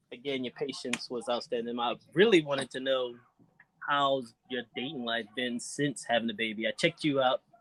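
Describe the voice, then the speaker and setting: A man talks in a plain, everyday voice at a medium pitch and moderate pace. His intonation is fairly even, and the sound is dry and close with no echo. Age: 30s. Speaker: dating show contestant. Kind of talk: casual chat.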